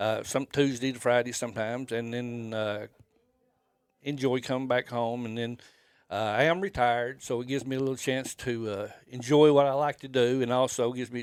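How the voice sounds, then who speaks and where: With a Southern US accent, a man talks fairly quickly at a medium pitch with fairly even intonation. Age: 60s. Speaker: fishing guide. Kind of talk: casual interview. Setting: fishing trade show. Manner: halting.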